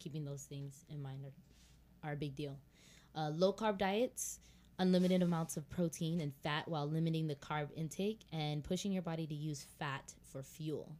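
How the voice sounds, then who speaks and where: This woman has a dark, mellow tone and a very deep, low pitch. She talks at a moderate pace with ordinary pitch variation. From Haitian background. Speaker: podcast co-host. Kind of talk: casual chat.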